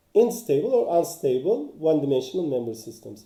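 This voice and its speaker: A man speaks at a moderate pace in a somewhat breathy voice with a dark, mellow tone. Audible room echo surrounds him. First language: not English. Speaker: engineering author and teacher. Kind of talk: lecture. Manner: halting, many fillers.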